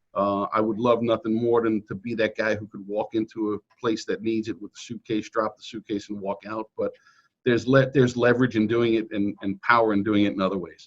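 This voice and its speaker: A man's medium-pitched voice at a fairly quick pace, monotone and flat, with big swings in loudness. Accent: Brooklyn. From New York City suburbs (Queens, then Nassau County, Long Island). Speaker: real estate agent. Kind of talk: interview. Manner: casual, repetitive with false starts.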